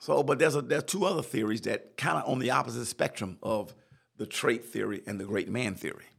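An animated man at medium pitch, with vocal fry. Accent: American. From South Carolina. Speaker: leadership podcast host and chaplain. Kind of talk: solo podcast lecture. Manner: repetitive, stammering restarts; animated, preacher-like.

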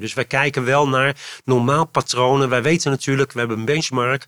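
In a very clean recording with a silent background, a man talks very fast at a medium pitch, his tone bright and sharp and his intonation fairly even. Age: 60s. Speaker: foundation CEO. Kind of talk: interview conversation. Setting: in person recording. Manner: halting.

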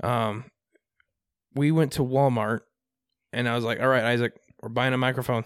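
A man talks at medium pitch with a Midwestern US accent, at a moderate pace. His intonation is monotone and flat, broken by long, frequent pauses. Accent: US Midwest. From Iowa, Des Moines area. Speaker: podcast co-host. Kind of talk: casual chat.

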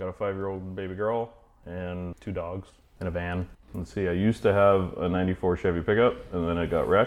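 This man has a plain, everyday voice with an American accent. His pitch sits fairly low and his pace is moderate. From Idaho. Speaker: car restorer. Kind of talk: casual chat.

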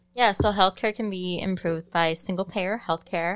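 On a very clean recording with a silent background, a woman with an unremarkable speaking voice talks at a moderate pace, her fairly low pitch carrying fairly even intonation. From Chicago, Pilsen. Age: 30s. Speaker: sociology student. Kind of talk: casual chat. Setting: separate room behind plexiglass.

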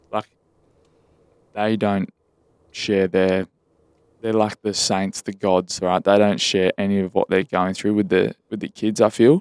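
A man with an Australian accent speaks at a fairly slow pace in a fairly low voice, his intonation fairly even and broken by long, frequent pauses, in a dry, close, echo-free sound on a very clean recording with a silent background. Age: 20s. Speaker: podcast co-host. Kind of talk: casual chat.

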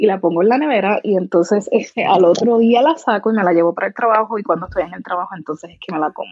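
With a strong Puerto Rican accent, a woman talks very fast at a medium pitch with hardly any pauses. Her pitch variation is ordinary. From Puerto Rico. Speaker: content creator. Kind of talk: interview.

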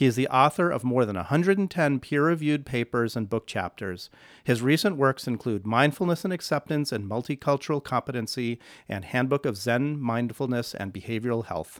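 A normal speaking voice with lively intonation and a fairly quick pace, in dry, close sound with no echo on a very clean recording with a silent background. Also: man, medium pitch for a man. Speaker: psychologist and podcast host. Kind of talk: interview.

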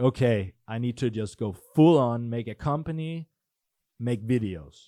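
Over a quiet background, a man with a Danish accent talks at medium pitch with lively intonation, the sound dry and close with no echo. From Denmark. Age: 20s. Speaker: entrepreneur. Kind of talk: casual chat. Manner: halting.

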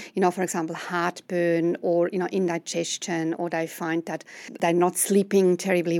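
Very cleanly recorded against a silent background, a woman with a Swiss accent talks at a fairly quick pace, the sound dry and close with no echo. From Switzerland. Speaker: medical herbalist. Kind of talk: interview.

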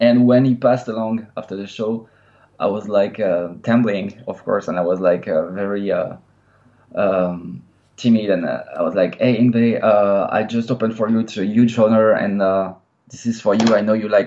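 This man has a French accent and a fairly low pitch. He keeps a moderate pace with fairly even intonation. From France. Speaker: metal guitarist. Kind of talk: interview. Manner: halting, many filler sounds.

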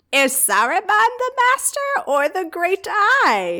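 Someone puts on a character voice at an extremely high pitch, speaking at a fairly slow pace. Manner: evil, menacing.

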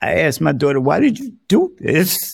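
A man speaks with a New York accent at a fairly slow pace. His pitch swings very widely. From New York, South Bronx. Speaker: deacon and formerly homeless speaker. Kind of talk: interview testimony.

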